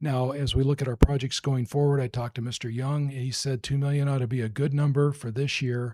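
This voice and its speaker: A fairly quick, dark and mellow delivery with hardly any pauses and monotone, flat intonation, in a very clean recording with a silent background. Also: man, medium pitch for a man. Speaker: school district finance official. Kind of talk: public meeting presentation. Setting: school board meeting.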